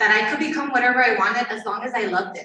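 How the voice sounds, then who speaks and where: A woman speaks with a Spanish accent at a fairly quick pace. Her intonation stays fairly even. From Tornillo, Texas (El Paso area). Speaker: teacher. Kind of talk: panel interview.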